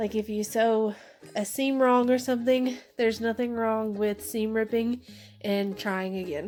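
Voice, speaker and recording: A woman with an American accent speaks fairly slowly at a fairly high pitch, in a monotone, flat intonation. Music plays in the background. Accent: country accent, toned down. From US South, southwest Arkansas. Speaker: sewing vlogger, bag maker. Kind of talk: casual vlog, Q&A. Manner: casual with fillers.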